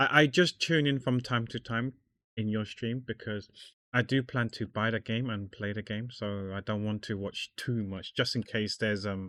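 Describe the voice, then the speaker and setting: Ordinary pitch variation at a moderate pace, in a very clean recording with a silent background and a dry, close sound with no echo. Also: man. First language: not English. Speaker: artist streamer. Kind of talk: casual chat while drawing livestream. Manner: halting, repeats words.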